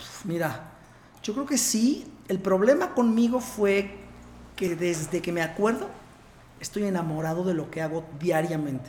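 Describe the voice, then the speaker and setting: A man with a central Mexican accent speaks at a high pitch and a fairly slow pace, with lively intonation and long, frequent pauses, over noticeable background noise. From Puebla, Mexico. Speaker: interventional cardiologist. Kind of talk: casual interview.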